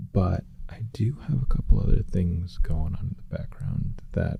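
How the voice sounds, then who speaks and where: Over noticeable background noise, a soft-spoken man talks at a fairly slow pace with lively intonation. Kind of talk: casual talk to camera.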